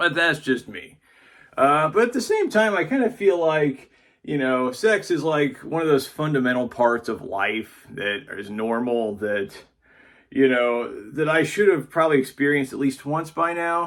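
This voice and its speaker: Lively intonation at a fairly slow pace. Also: man, fairly high pitch for a man. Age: 30s. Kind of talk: casual talk to camera. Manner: hesitant, halting.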